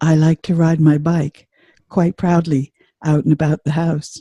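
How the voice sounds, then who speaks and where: In a put-on character voice, the speaker talks at a moderate pace with a middle pitch, a resonant sound and monotone, flat intonation. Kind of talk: accent demonstration sentence.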